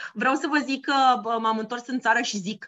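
A woman speaks at a moderate pace in a fairly high pitch. Hers is an ordinary speaking voice. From Romania. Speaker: podcast co-host, former bank employee. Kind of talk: casual chat.

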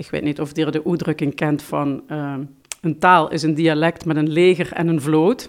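A woman with a very deep, low pitch speaks at a moderate pace, her intonation fairly even. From Limburg, Netherlands (Heerlen). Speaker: language teacher. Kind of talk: interview.

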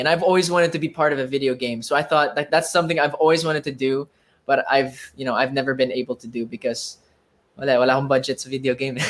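This man talks very fast, with ordinary pitch variation. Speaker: podcast co-host, TV host. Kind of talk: casual chat.

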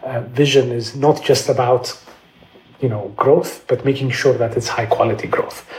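Over noticeable background noise, a man talks at a medium pitch with fairly even intonation. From Ethiopia, Addis Ababa. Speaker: economist. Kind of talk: interview. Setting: video call from home.

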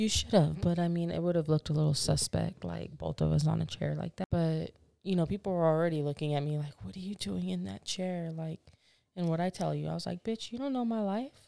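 A woman speaks at a fairly quick pace, and the sound is dry and close with no echo. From Southern California. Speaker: podcast co-host. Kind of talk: casual chat.

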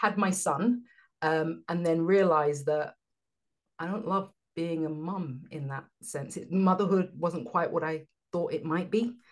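A woman with a London accent, fairly low pitch, ordinary pitch variation and a moderate pace, against a quiet background. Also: long, frequent pauses. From London, England. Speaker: business coach. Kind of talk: casual interview chat.

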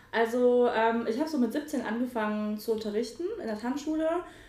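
A woman's voice amid audible room echo and noticeable background noise. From western Germany (Mönchengladbach, Lower Rhine). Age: 20s. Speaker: dance photographer and dancer. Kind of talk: casual chat.

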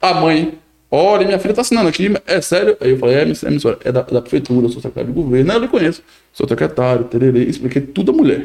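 A man talks very fast at a fairly high pitch with very wide pitch swings. His loudness stays very even. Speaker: podcast co-host and municipal government official. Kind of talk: casual interview chat.

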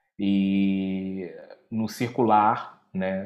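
Recorded very cleanly against a silent background, a man speaks with a fairly low pitch. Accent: Rio. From Brazil, Rio de Janeiro. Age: 30s. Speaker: activist and cultural organizer. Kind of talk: interview. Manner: halting, many repetitions and fillers.

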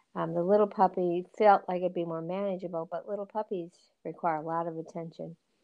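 The woman's pitch is fairly low. She speaks in a monotone, flat intonation. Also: fairly quick pace. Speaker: podcast co-host. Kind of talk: casual chat.

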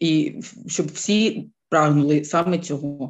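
A woman speaks with a Ukrainian accent. Her pitch variation is ordinary. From Ukraine, Kyiv. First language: Ukrainian (speaking German). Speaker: war refugee. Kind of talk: interview testimony.

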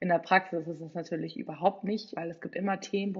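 A woman speaks at medium pitch. Her voice has vocal fry. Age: 20s. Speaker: political science student. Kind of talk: casual interview.

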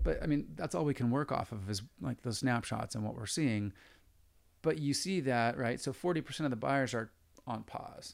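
An ordinary speaking voice with an American accent uses lively intonation at a moderate pace on a very clean recording with a silent background. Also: man, medium pitch for a man. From San Diego, California. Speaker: real estate agent. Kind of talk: interview.

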